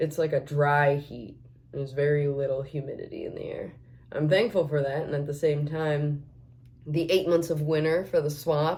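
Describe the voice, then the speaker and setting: This woman has a very deep, low voice, somewhat breathy, talking at a moderate pace with fairly even intonation and audible room echo. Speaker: makeup vlogger. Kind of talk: casual chat while doing makeup. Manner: rambling, with many fillers.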